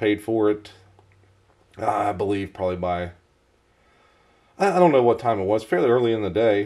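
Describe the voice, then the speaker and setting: The voice has a dark, mellow tone and ordinary pitch variation. It moves at a moderate pace against a quiet background. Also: man. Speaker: knife reviewer. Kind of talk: casual talk to camera. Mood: mildly annoyed storytelling.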